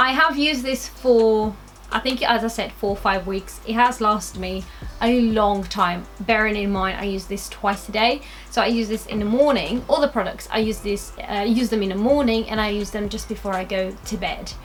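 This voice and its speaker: Music plays in the background as a woman talks at a moderate pace. Her pitch sits fairly high and varies in an ordinary way. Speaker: beauty vlogger. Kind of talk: product review vlog. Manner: casual, hesitant with fillers.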